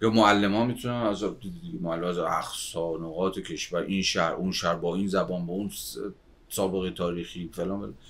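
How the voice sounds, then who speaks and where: Here a man's voice sounds very deep and low. He keeps a moderate pace. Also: ordinary pitch variation. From Iran, Babol, Mazandaran. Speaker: sociologist. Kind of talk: casual chat.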